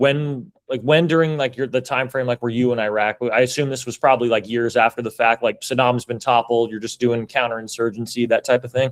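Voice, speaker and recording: Speaking with an American accent, a man uses a normal speaking voice at medium pitch and a fairly quick pace, with hardly any pauses. His intonation is fairly even, and the sound is dry and close with no echo. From United States. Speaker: podcast host, military veteran. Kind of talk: casual interview.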